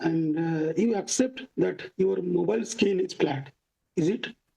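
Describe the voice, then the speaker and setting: A dark, mellow voice with a non-native accent, very slow in pace, with ordinary pitch variation. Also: man. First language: not English. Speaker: flat earth debater. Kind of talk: heated debate.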